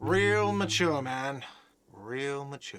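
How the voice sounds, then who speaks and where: A man puts on a whiny character voice at medium pitch with ordinary pitch variation. His tone is whiny, and there is audible echo. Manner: whiny, sarcastic.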